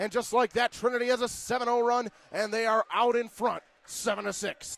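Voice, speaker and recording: A man with an extremely high pitch uses a raised, projected voice with a bright, sharp tone at a moderate pace, in a dry, close sound with no echo. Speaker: sports play-by-play commentator. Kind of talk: live sports play-by-play commentary. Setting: broadcast booth at a collegiate game.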